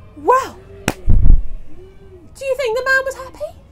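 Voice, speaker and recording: A woman talks in an animated, playful tone. Music plays in the background. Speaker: children's storyteller. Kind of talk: live children's storytelling to a school audience. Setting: school hall with children. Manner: animated, playful, interactive.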